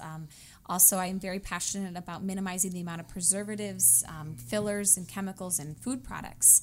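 A plain, everyday voice from a woman, medium in pitch, at a fairly quick pace. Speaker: fitness trainer. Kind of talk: radio interview. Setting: studio.

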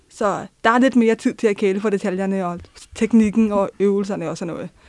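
A woman talks at a moderate pace in a fairly high pitch with fairly even intonation. It is an unremarkable speaking voice. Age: 20s. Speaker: social work student. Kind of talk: personal testimony. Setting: studio.

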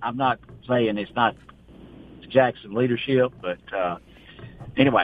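In a Mississippi accent, a man speaks at a fairly slow pace with a medium pitch and ordinary pitch variation. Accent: US Southern (Mississippi). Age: 70s. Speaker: small-town mayor. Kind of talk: call-in radio chat.

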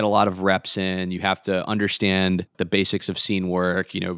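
A man's very deep, low voice with an American accent, at a moderate pace. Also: dry, close sound with no echo. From US South, Atlanta. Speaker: improv performer and emcee. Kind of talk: casual interview chat.

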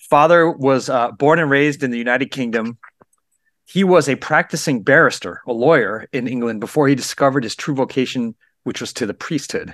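Recorded very cleanly against a silent background, the sound is dry and close with no echo. A man speaks quickly at a medium pitch in an ordinary speaking voice, at a fairly quick pace. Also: ordinary pitch variation. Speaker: radio host. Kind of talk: radio show hosting.

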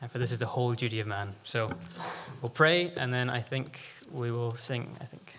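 A man speaks in a plain, everyday voice at a medium pitch and moderate pace, with ordinary pitch variation. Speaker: preacher. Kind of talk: sermon. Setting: church.

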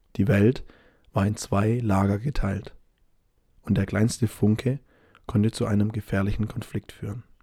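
A man speaks in a relaxed, dark, mellow tone that is somewhat breathy, with fairly even intonation and long, frequent pauses. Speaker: language-learning podcast host. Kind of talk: scripted narration. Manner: slow; relaxed pace.

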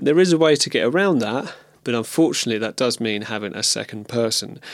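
Someone with an English accent talks at a very fast pace. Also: man. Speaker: video podcaster and musician. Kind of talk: casual monologue. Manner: hesitant, many fillers.

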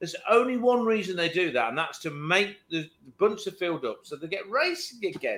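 Speaking with an American accent, a man has a high pitch and a fairly quick pace. His tone is animated, with lively intonation. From Virginia, US. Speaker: podcast co-host, motorsport enthusiast. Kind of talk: casual chat.

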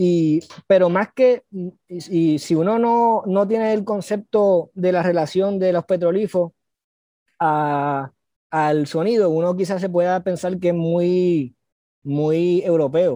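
The voice has a dark, mellow tone and very even loudness at a very slow pace. Pitch variation is ordinary, and the sound is dry and close with no echo. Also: man, high pitch for a man. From Puerto Rico, San Juan (Cupey). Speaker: composer and researcher. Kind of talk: interview. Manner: halting, many repetitions.

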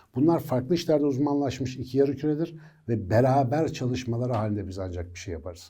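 A man speaks at a medium pitch with a dark, mellow tone. His intonation is lively, and the room echo is audible. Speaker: neuroscience educator. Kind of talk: educational monologue. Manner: conversational.

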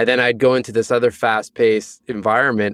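In a plain, everyday voice, a man with a Canadian accent and medium pitch speaks at a fairly quick pace in a very clean recording with a silent background. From Canada. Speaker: author and mental fitness strategist. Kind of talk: interview conversation.

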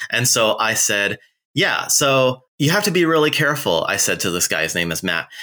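On a very clean recording with a silent background, a man speaks at a moderate pace and a medium pitch. His tone is bright and sharp, with vocal fry and very wide pitch swings. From non-US country, raised abroad. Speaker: podcast co-host. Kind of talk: casual chat.

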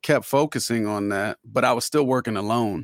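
In an American accent, a normal speaking voice moves at a moderate pace, with a dry, close sound with no echo on a very clean recording with a silent background. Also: man. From Florida, Orlando. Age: 40s. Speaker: rapper. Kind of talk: casual chat.

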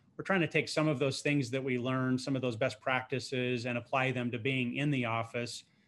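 With a normal speaking voice at a medium pitch, a man talks at a moderate pace on a very clean recording with a silent background. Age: 50s. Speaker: financial advisory firm co-founder. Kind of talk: interview.

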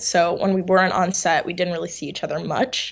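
With an American accent, this speaker uses a normal speaking voice at a moderate pace. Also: woman. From New York. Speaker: actress. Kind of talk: interview.

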